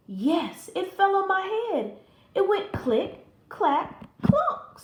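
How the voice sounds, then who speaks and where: A woman puts on a character voice at an extremely high pitch. She talks at a very slow pace. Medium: read story.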